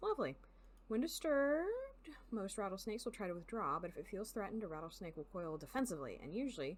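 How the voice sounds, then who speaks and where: A woman with an American accent, talking very fast in a fairly high voice with very wide swings in pitch. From US South. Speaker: video game streamer. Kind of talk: live gaming stream, reading game text aloud.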